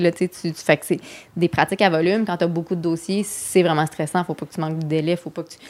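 Flat and monotone, a woman speaks very fast at a fairly low pitch. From Quebec City suburbs, Quebec. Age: 30s. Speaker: comedian. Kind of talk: casual chat.

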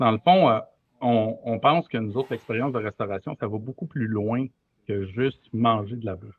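With a plain, everyday voice, a man of medium pitch speaks at a moderate pace with ordinary pitch variation and big swings in loudness. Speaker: brewery and restaurant owner. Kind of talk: casual chat.

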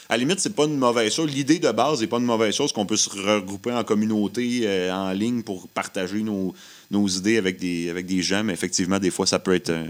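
A man with a fairly low pitch rattles along at a very fast pace with ordinary pitch variation, on a very clean recording with a silent background. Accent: Quebec. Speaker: musician. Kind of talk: casual radio interview. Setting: radio studio.

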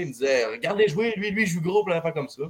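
Talking at a very fast pace with lively intonation, a man speaks in a Saguenay Quebec accent. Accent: Quebec French, Saguenay regional. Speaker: junior hockey goalie. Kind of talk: casual interview.

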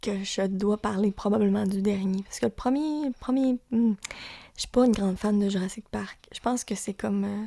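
A woman with a Lac-Saint-Jean accent, her tone dark and mellow, at medium pitch with ordinary pitch variation and a moderate pace, in a dry, close sound with no echo. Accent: Lac-Saint-Jean Quebec French. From Quebec, Lac-Saint-Jean. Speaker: podcast host. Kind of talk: casual chat.

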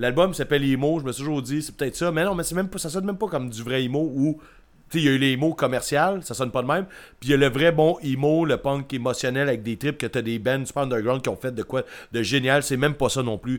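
Speaking very fast in a Quebec accent, a man with a fairly high pitch and an animated tone shows ordinary pitch variation on a very clean recording with a silent background. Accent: Québécois French. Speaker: podcast co-host, punk music reviewer. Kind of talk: casual chat. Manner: animated, laughing.

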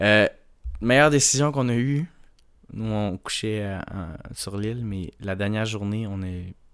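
Speaking at a moderate pace with a Quebec accent, a man with a fairly low pitch comes through on a very clean recording with a silent background. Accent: Québécois French. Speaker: podcast co-host. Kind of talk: casual chat.

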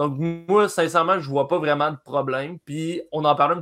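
The man uses a normal speaking voice, pitched fairly high, moving at a moderate pace with ordinary pitch variation. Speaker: hockey analyst. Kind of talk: casual sports talk. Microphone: network problems.

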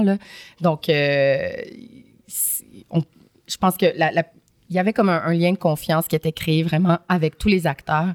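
A woman's fairly low voice with ordinary pitch variation at a very slow pace, dry and close with no echo. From Montreal, Quebec (Saint-Michel, Montréal-Nord). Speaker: film actress. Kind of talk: casual interview chat.

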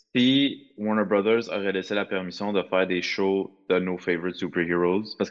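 With a very deep, low pitch, a man speaks with fairly even intonation. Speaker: podcast co-host. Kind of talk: casual chat.

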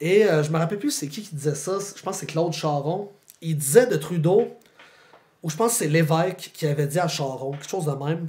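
With a Quebec accent, a man speaks at a fairly quick pace. His pitch is fairly high and varies in an ordinary way. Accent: Québécois French. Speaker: philosophy teacher and author. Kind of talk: casual interview chat.

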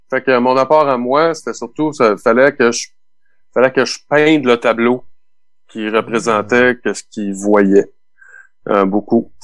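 A man's medium-pitched voice in a Quebec accent, very slow in pace, with long, frequent pauses and ordinary pitch variation. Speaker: keyboardist and record producer. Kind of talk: casual interview.

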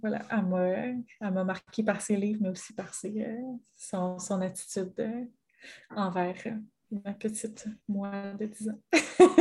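At a very slow pace, a woman talks at a medium pitch in a somewhat breathy voice with fairly even intonation. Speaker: podcast co-host. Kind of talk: casual chat.

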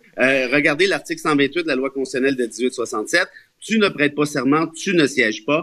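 At a moderate pace, a man uses a normal speaking voice with a fairly high pitch and ordinary pitch variation. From Quebec, Laurentides (Mont-Laurier). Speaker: columnist and lawyer. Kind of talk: radio panel discussion.

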